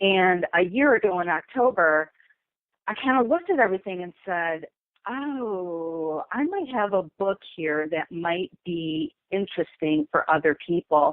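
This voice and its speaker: In a normal speaking voice, a woman of medium pitch talks at a fairly slow pace with lively intonation. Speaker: memoir author. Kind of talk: interview.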